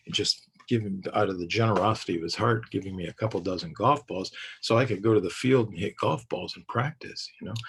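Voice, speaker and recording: A man speaks with an American accent. Noticeable background noise accompanies him. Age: 60s. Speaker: parenting educator. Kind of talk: recorded lecture. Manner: halting.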